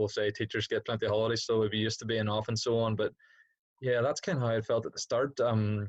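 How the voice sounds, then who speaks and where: With a Northern Irish accent, a man speaks very fast at a fairly low pitch. The sound is dry and close with no echo, over a quiet background. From Northern Ireland, Derry. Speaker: PE teacher. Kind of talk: casual chat. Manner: hesitant, many fillers.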